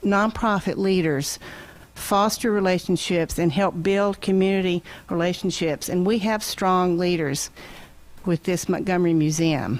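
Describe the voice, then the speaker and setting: A woman with an American accent speaks at a fairly slow pace and medium pitch, with ordinary pitch variation. Hers is an ordinary speaking voice with very even loudness. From southwest Virginia. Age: 60s. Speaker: public commenter at town meeting. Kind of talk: public comment.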